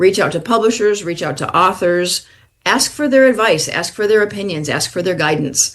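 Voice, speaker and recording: Here a woman speaks with a New York accent. Her medium pitch comes at a moderate pace. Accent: New York accent, flat a's. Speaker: author. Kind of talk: interview.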